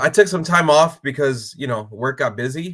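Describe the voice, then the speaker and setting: A man's bright, sharp voice with lively intonation and an American accent. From Los Angeles, California. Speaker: union ironworker and clothing brand owner. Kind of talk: casual interview chat.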